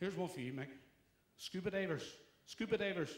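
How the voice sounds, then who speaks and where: A Belfast accent with ordinary pitch variation. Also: man. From Northern Ireland, Belfast. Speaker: stand-up comedian. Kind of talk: stand-up.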